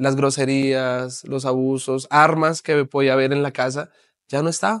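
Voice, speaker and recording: The background is quiet and the sound is dry with no echo. A man talks at a moderate pace. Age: 30s. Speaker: pastor and author; pastor. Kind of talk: interview testimony. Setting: TV studio. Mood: earnest personal testimony. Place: studio.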